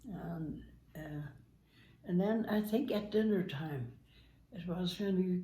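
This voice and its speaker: Somewhat breathy, a woman with a dark, mellow tone speaks at a fairly slow pace. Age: 80s+. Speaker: grandmother guest, telling story of her son's accident. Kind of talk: interview answer, recounting a story.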